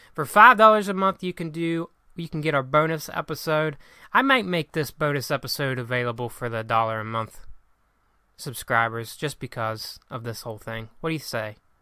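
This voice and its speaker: At a moderate pace, a man with a fairly high pitch speaks in a bright, sharp tone, his intonation lively and his loudness swinging widely. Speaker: podcast host. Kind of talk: casual chat. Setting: remote recording at home. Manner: stutters, halting.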